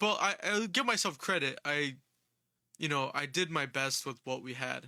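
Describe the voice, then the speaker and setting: Very slowly, a man speaks in a fairly high voice with a bright, sharp tone. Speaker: music producer and mixing engineer. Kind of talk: casual livestream talk. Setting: Instagram live stream. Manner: halting, many fillers and restarts.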